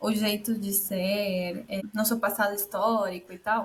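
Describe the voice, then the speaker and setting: Speaking with a Spanish accent, a woman keeps a fairly even intonation. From Peru. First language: Spanish (speaking Portuguese). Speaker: immigrant entrepreneur. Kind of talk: casual interview chat. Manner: halting, self-correcting.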